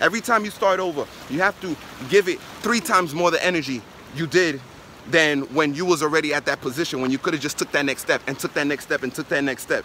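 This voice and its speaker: Speaking very fast in a New York accent, a man with a fairly high pitch uses an animated tone and ordinary pitch variation, in a dry sound with no echo and light background noise. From New York, Brooklyn. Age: 20s. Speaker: network marketer; motivational vlogger. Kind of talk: motivational vlog monologue. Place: beach. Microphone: phone near.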